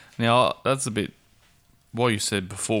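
In an Australian accent, a man speaks at a fairly low pitch. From Perth, Australia. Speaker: co-host. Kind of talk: casual comedic banter.

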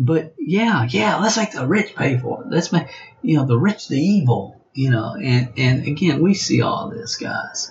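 In a Southern US accent, this voice moves at a fairly slow pace with vocal fry and very wide pitch swings. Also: man, fairly high pitch for a man. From US South. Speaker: network marketing trainer. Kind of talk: training monologue. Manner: animated.

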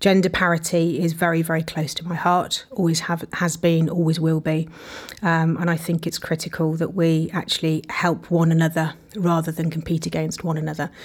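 Amid noticeable background noise, a woman speaks in a fairly low pitch with monotone, flat intonation. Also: moderate pace. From English Midlands, Leicester. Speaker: entrepreneur. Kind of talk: interview.

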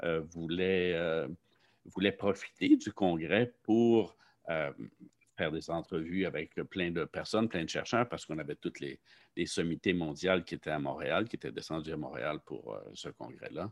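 A man's very deep, low voice with vocal fry and lively intonation, fairly slow pace, dry, close sound with no echo. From Quebec, Saint-Jean-sur-Richelieu. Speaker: professor, limnology researcher. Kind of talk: interview. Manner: halting, many fillers.

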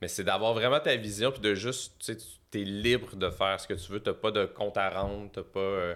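A man's fairly low voice at a moderate pace, fairly even in intonation with hardly any pauses, on a very clean recording with a silent background. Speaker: comedian manager. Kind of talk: casual chat.

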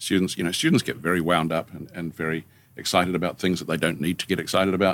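Speech in a New Zealand accent moves at a very fast pace with fairly even intonation. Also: man. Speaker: senior lecturer and studio director. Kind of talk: casual interview conversation. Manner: joking, playful.

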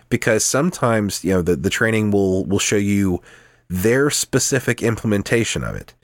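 In a very clean recording with a silent background, a man speaks in a fairly low voice with ordinary pitch variation. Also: moderate pace. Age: 30s. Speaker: podcast co-host. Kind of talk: casual chat. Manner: halting.

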